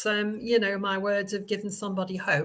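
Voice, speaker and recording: A woman speaks in a bright, sharp tone at a fairly high pitch. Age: 70s. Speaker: spiritualist medium and minister. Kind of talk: casual interview chat. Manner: hesitant, many fillers.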